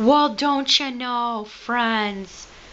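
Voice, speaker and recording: Over clear background noise, a woman puts on a high-pitched character voice. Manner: laughing while imitating.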